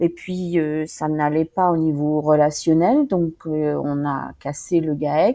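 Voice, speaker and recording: Against a quiet background, a woman with a dark, mellow tone speaks at a very slow pace. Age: 60s. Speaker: farmer's wife, retired insurance employee. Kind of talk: interview testimony. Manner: hesitant, many fillers.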